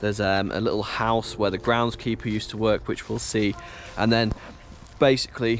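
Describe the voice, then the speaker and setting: The voice has monotone, flat intonation. The sound is dry with no echo, over light background noise. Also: man. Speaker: exploration vlogger. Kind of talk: casual vlog chat. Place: open country. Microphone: phone near.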